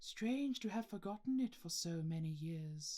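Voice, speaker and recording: A man puts on a character voice. It sits at a high pitch and moves at a moderate pace. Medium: read story. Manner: calm, measured.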